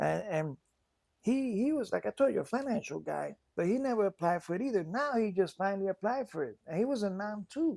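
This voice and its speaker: At a fairly quick pace, a man with a high pitch and lively intonation comes through dry and close with no echo. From Puerto Rican heritage. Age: 60s. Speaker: war veteran. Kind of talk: casual chat. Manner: halting.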